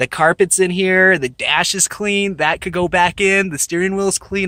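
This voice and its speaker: In a raised, projected voice, a man speaks at a high pitch and moderate pace, his tone bright and sharp, his intonation fairly even, and the sound dry and close with no echo. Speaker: car hobbyist vlogger. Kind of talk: casual vlog walkaround. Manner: mumbling, self-correcting; stuttering, halting.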